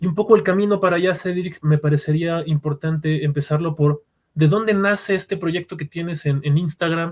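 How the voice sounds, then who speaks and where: A man with a Mexican accent speaks at a fairly quick pace in a high pitch, the sound dry and close with no echo. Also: fairly even intonation. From Mexico. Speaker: podcast host, psychologist and narrative therapist. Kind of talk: podcast interview.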